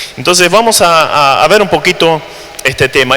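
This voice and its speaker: Noticeable background noise under a man's fairly high-pitched voice, lively in intonation and moderate in pace. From Germany, raised in Latin America. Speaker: missionary preacher. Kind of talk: sermon. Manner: hesitant, frequent fillers and repetitions.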